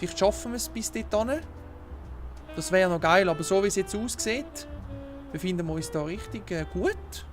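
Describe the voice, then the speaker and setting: A man with a Swiss accent at a moderate pace, long, frequent pauses and music in the background. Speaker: gamer. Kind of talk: casual let's play gaming commentary.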